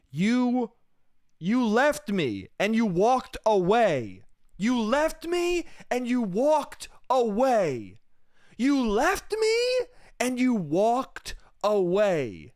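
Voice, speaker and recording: Shouting in a put-on character voice at a fairly high pitch, the speaker goes at a very slow pace. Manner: impassioned, screaming.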